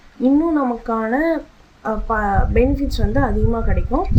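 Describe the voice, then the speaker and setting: Soft-spoken voice with a dark, mellow tone and audible room echo. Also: woman. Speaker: vlogger. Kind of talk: casual vlog monologue. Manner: halting.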